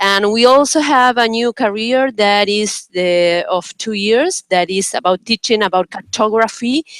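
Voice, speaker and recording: A woman with a Spanish accent at a fairly slow pace, ordinary pitch variation, and a dry, close sound with no echo. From Uruguay. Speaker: professor. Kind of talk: self-introduction in online meeting. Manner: halting.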